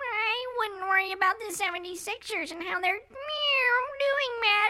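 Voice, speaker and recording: A woman puts on a character voice at an extremely high pitch, speaking at a very slow pace. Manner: meowing between words.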